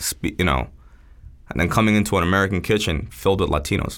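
A man with a New York accent at a very fast pace, fairly low in pitch with ordinary pitch variation. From New York (Queens, Long Island), born in Seoul, moved at eight. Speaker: chef. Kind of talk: casual interview chat.

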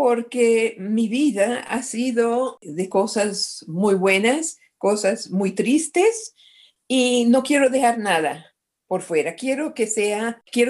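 The pace is very slow. There is a quiet background. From Colombia, Medellín. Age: 70s. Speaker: retiring court interpreter. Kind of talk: casual family chat.

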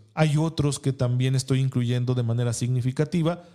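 Male voice of medium pitch, its tone dark and mellow, its intonation fairly even. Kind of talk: religious teaching talk. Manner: formal.

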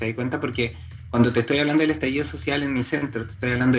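A man's voice sits at a medium pitch while music plays behind him. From Chile, Santiago. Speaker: chiropractor and entrepreneur. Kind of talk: interview conversation.

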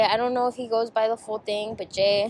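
This woman speaks with an American accent. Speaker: podcast host. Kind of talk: casual chat, interview. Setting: cafe, boba shop. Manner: casual, uses slang.

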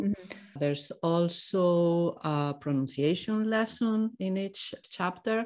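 With a Spanish accent, the speaker talks at a fairly slow pace. The recording is very clean, with a silent background. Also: woman. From Spain. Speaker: Spanish teacher. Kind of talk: casual interview about a course launch.

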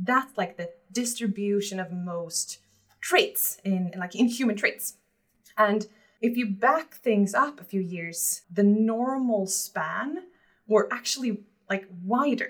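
Her voice is somewhat breathy, with a medium pitch and lively intonation. This woman's loudness swings widely. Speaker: head of people at a hiring tech company. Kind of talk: interview conversation. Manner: talkative.

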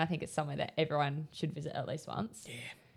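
A woman with an Australian accent and a very deep, low pitch, talking at a very fast pace, in a very clean recording with a silent background. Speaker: podcast co-host. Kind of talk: casual chat.

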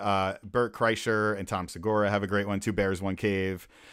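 A man talks in an ordinary speaking voice with an American accent, fairly low in pitch and at a moderate pace. The recording is very clean, with a silent background. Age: 40s. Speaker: DJ. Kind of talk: casual chat.

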